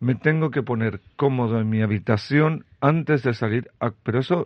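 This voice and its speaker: Speaking with a normal speaking voice, a man uses a medium pitch with ordinary pitch variation. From Chile. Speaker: restaurant founder and Thailand expert. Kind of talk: radio interview.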